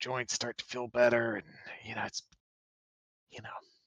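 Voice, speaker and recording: A man uses a put-on character voice that is raspy, with a medium pitch and monotone, flat intonation. He keeps a moderate pace with big swings in loudness, in a dry, close sound with no echo. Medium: actual play. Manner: rambling, hesitant.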